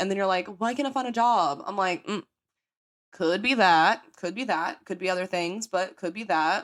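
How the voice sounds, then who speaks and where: A woman with an American accent talks at a fairly quick pace, her pitch medium and her intonation lively. Her tone is animated, and the recording is very clean with a silent background. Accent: country accent, comes out strong. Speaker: podcast host. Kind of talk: casual chat. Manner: fast.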